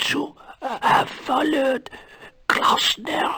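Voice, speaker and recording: At a very slow pace, a raspy, whispering put-on character voice comes through. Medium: video game.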